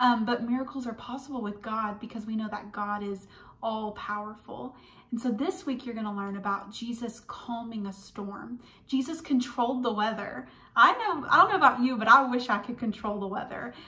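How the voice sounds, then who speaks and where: Her loudness swings widely as a woman speaks at a moderate pace with ordinary pitch variation. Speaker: children's church teacher. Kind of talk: children's Bible lesson. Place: home room. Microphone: phone near.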